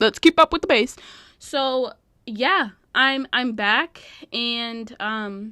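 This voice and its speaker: A woman's bright, sharp, animated voice at a fairly high pitch, in a very clean recording with a silent background and a dry, close sound without echo. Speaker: podcast host. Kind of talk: casual chat.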